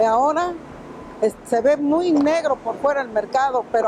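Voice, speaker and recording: A woman speaks at a high pitch with ordinary pitch variation and a moderate pace. Noticeable background noise can be heard. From Mexico City. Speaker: market vendor. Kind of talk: interview testimony. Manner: halting.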